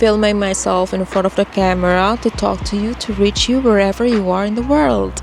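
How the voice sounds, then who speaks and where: Over noticeable background noise, a woman talks with hardly any pauses. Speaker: author vlogger. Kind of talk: casual vlog monologue. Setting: filming alone to camera. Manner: slow; mellow, soft-spoken.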